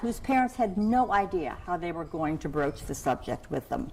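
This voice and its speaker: A woman's intonation is lively, heard against noticeable background noise. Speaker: keynote speaker and parenting researcher. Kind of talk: keynote speech.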